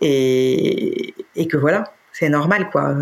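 With fairly even intonation, a woman speaks in a very deep, low voice over noticeable background noise. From France, Paris. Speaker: interviewee, separated mother. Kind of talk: personal testimony. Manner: hesitant, many fillers and repetitions.

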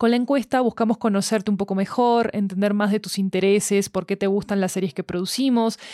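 A woman's dark, mellow voice of medium pitch at a fairly quick pace with hardly any pauses, fairly even intonation and very even loudness, dry and close with no echo in a very clean recording with a silent background. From Argentina. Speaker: podcast studio announcer. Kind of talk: scripted promo reading.

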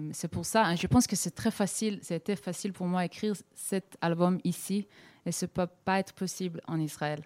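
Dry and close with no echo, this recording has a woman speaking at a medium pitch. Her intonation is fairly even and her pace moderate. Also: very clean recording, silent background. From Israel, Tel Aviv. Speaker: singer-songwriter. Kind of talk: interview. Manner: halting, mixing French and English.

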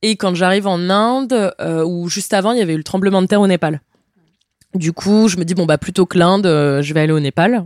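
In a dry, close sound with no echo, a woman with an ordinary speaking voice talks at a fairly quick pace, medium in pitch, with ordinary pitch variation and very even loudness. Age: 20s. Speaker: traveler. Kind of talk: interview. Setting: at the host's home.

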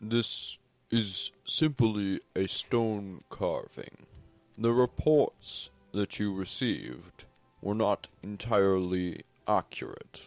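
Over background music, a man in a put-on character voice speaks fairly low at a very slow pace, the sound dry and close with no echo. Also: ordinary pitch variation. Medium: actual play. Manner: formal, measured.

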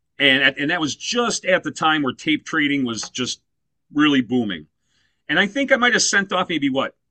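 At a moderate pace, a man speaks with a fairly high pitch. His pitch swings very wide. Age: 50s. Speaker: death metal musician. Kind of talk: casual interview.

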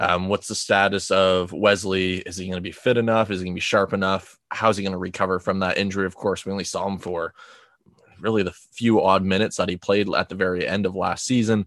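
Very deep and low, a man's voice races at a very fast pace. His intonation stays monotone and flat against a quiet background. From outside England. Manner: casual, filler-heavy.

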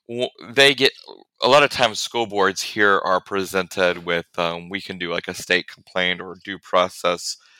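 With an American accent, a man speaks at a moderate pace in a bright, sharp tone over a very deep, low pitch. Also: dry, close sound with no echo. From Central Illinois, US Midwest. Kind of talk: interview conversation. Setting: remote call. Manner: loud.

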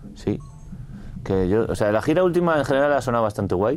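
A man's fairly quick speech with very wide pitch swings, over noticeable background noise. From Spain, Madrid area. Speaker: rock musician. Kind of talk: casual interview.

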